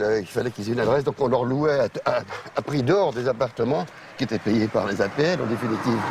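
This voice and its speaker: The man's pitch varies in an ordinary way while noticeable background noise runs underneath. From France, Paris suburbs (Val-d'Oise). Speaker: real estate agent. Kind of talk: interview. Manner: halting.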